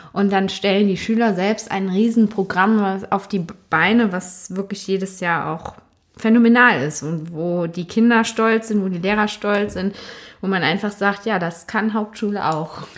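A normal speaking voice moves at a fairly slow pace with fairly even intonation. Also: woman, medium pitch for a woman. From Germany, Cologne area. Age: 20s. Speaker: teacher. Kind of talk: interview.

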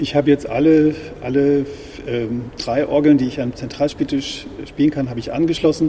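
Amid noticeable background noise, a man with a fairly high pitch talks at a moderate pace in a monotone, flat intonation, leaving long, frequent pauses. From northwest Germany, village near Osnabrück. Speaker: church musician and organist. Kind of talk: interview. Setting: in a church.

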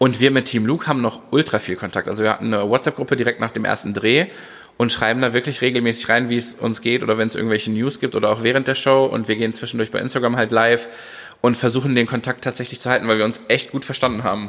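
A man with fairly even intonation at a very fast pace. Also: medium pitch for a man. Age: 30s. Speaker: dance teacher and choreographer. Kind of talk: casual chat.

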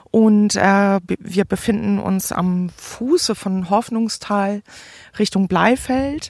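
A woman speaks at a very slow pace. Her pitch is medium, with ordinary variation. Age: 40s. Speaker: hobby beekeeper. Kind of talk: interview monologue. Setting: outdoors. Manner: hesitant, many fillers.

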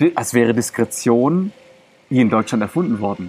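Lively in intonation, a man talks at a moderate pace with a medium pitch. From Germany, Greek parents. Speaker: mental coach and body language coach. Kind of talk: interview. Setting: outdoors in a park. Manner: animated.

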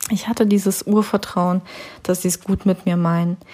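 Somewhat breathy with a dark, mellow tone, a woman's voice keeps a monotone, flat intonation. Her pace is moderate. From Siberia, Russia. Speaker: church podcast host. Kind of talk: devotional talk. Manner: casual, hesitant with fillers.

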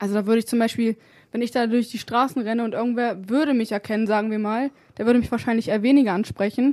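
Speaking at a very fast pace, a woman uses a fairly high pitch and fairly even intonation. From Germany, Wolfsburg. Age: 20s. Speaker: hip-hop and R&B singer. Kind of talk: casual chat. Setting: radio studio.

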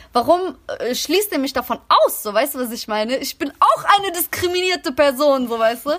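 A woman talks at a moderate pace, her high-pitched voice carrying lively intonation. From Germany, Greek migrant working-class background. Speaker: podcast host. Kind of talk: casual chat.

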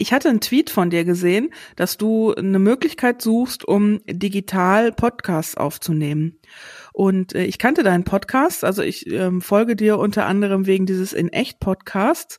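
The sound is dry and close, with no echo. A woman talks with lively intonation. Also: medium pitch for a woman, moderate pace. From Sauerland, western Germany. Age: 40s. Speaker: podcast guest. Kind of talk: casual interview. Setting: remote recording. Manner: hesitant, many fillers.

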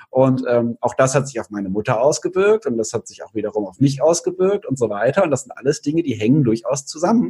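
A man's somewhat breathy, dark, mellow voice of medium pitch, very fast with hardly any pauses, very wide pitch swings and big swings in loudness, in a dry, close sound with no echo. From Cologne, Germany. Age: 30s. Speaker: nutrition speaker and author. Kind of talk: interview.

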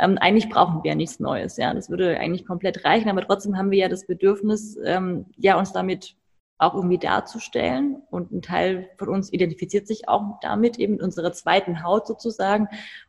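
Vocal fry runs through a woman's medium-pitched voice, which has fairly even intonation. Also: fairly quick pace. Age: 30s. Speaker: fashion photographer and model agency founder. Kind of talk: podcast interview.

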